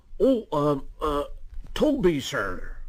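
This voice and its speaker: The man's voice is high-pitched. He is doing a put-on character voice. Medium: read story. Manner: polite, earnest.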